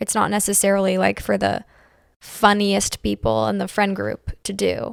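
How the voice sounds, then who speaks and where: A woman with an American accent speaks quietly at a moderate pace. The sound is dry and close, with no echo. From Pittsburgh, US. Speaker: stand-up comedian. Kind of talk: casual chat.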